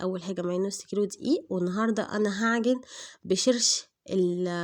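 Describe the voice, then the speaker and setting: A woman with an Egyptian accent talks at a medium pitch with a dark, mellow tone and ordinary pitch variation. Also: very clean recording, silent background. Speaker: cooking channel host. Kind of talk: cooking tutorial. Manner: hesitant, many fillers.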